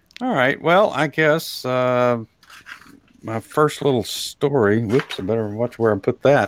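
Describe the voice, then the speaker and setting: A man talks fairly slowly in a Texas accent, at medium pitch with ordinary pitch variation. The sound is dry and close, without echo. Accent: Texas drawl. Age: old. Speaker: talk show host. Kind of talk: casual chat.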